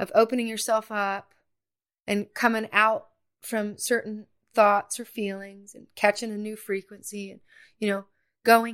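On a very clean recording with a silent background, a woman with an American accent speaks fairly slowly at a fairly high pitch, her intonation monotone and flat, her loudness swinging widely, with long, frequent pauses. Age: 40s. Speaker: singer-songwriter and former teacher. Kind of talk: casual chat.

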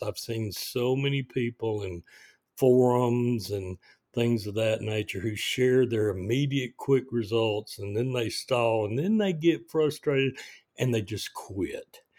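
This man has an ordinary speaking voice, with a medium pitch and ordinary pitch variation. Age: 60s. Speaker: podcaster sharing diabetes experience. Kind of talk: personal monologue. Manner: casual with filler words.

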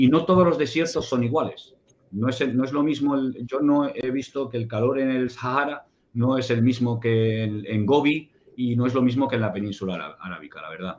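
A man's medium-pitched voice, with ordinary pitch variation, moves at a fairly quick pace. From Spain, Barcelona. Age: 50s. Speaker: security consultant and ex-soldier. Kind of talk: interview. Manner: halting.

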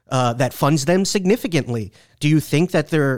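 In a dry, close sound with no echo, a man with a fairly high pitch talks fairly quickly in an unremarkable speaking voice. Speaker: senior writer and foreign policy reporter. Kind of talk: casual chat. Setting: studio.

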